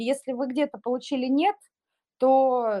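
This woman's voice is high-pitched with a dark, mellow tone, delivered at a moderate pace in a dry, close recording with no echo. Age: 30s. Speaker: psychotherapist. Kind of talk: expert Q&A in live audio chat.

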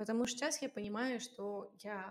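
The pace is moderate, and the pitch varies in an ordinary way. It is an unremarkable speaking voice. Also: woman. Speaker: podcast co-host. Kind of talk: scripted narration; casual chat.

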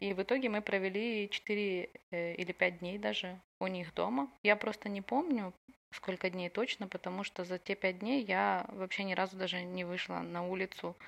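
In an ordinary speaking voice, a woman talks at a moderate pace with medium pitch and fairly even intonation against a quiet background. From Ukraine, Odesa. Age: 20s. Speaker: war refugee telling her story. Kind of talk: personal testimony.

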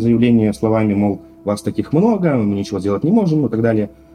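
At a very fast pace, a man speaks at medium pitch with lively intonation. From Russian Far East, Khabarovsk. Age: 20s. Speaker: lawyer. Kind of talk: personal story interview.

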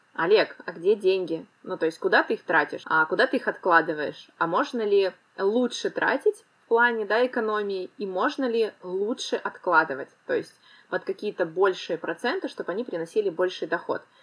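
At a moderate pace, a woman speaks in a normal speaking voice at medium pitch. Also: lively intonation. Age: 30s. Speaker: financial literacy expert, podcast co-host. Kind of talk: casual chat.

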